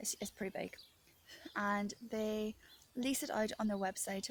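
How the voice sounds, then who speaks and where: A woman in an Irish accent, medium pitch, somewhat breathy, at a moderate pace with fairly even intonation. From Ireland. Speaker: author and video diarist. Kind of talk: casual monologue vlog.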